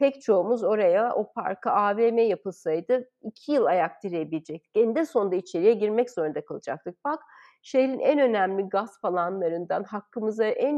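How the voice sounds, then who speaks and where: A woman with a plain, everyday voice speaks at a moderate pace and a medium pitch, using ordinary pitch variation. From Istanbul, Turkey. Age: 50s. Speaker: cook and food activist. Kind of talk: interview.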